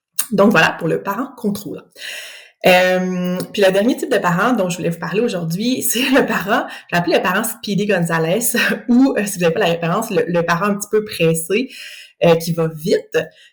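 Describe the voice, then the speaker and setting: Speaking with a Quebec accent, a woman sounds somewhat breathy at a medium pitch and moderate pace. Her pitch varies in an ordinary way, and the very clean recording has a silent background. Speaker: speech-language pathologist. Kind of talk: educational podcast monologue. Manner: animated.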